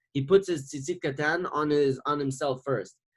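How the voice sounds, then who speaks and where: The pitch of this man's voice moves in an ordinary way. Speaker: religious teacher. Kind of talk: lecture. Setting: video call. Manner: fast.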